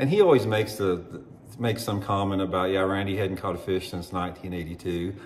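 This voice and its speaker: Speaking at a very fast pace, a man with a fairly low, somewhat breathy voice keeps his intonation fairly even amid audible room echo. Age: 60s. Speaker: former pro bass angler and fishing YouTuber. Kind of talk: opinion monologue to camera. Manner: halting, with many fillers and restarts.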